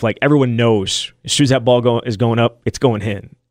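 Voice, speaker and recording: The speaker has a normal speaking voice with fairly even intonation at a fairly quick pace. The sound is dry and close with no echo. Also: man. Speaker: sports podcast co-host. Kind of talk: casual sports talk.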